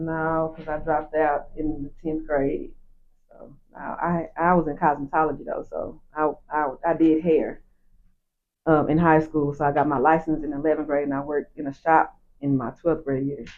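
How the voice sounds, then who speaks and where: Over music in the background, a woman speaks at a moderate pace with a very deep, low pitch. Her intonation is monotone and flat, while her loudness swings widely. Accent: American. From Dallas, Texas (Pleasant Grove, East Dallas). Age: 40s. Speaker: nightlife promoter. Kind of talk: casual interview.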